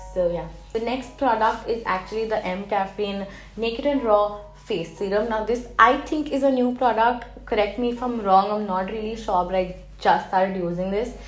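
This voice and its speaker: In a room with audible echo, a woman speaks at a fairly high pitch with ordinary pitch variation. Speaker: beauty YouTuber. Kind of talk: product review. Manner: hyper, fast.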